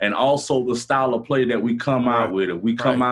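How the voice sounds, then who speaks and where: A man in an American accent talks fairly quickly while noticeable background noise carries on behind him. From Gainesville, Florida. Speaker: rapper. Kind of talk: casual chat. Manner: animated.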